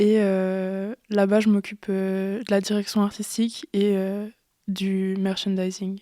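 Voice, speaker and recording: Very slowly, a woman speaks in a dark, mellow tone. The recording is very clean and silent behind her, with a dry, close sound and no echo. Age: 20s. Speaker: event organizer. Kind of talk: testimony. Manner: halting.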